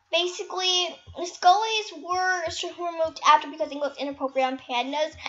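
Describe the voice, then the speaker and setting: Over music in the background, a woman speaks at an extremely high pitch. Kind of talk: casual gaming commentary to viewers. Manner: soft-spoken, subdued.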